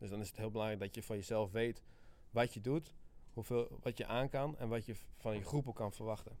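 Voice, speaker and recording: A man races along at a very fast pace in a fairly low voice. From Friesland, Netherlands. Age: 20s. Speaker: army sergeant and sports instructor. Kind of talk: interview.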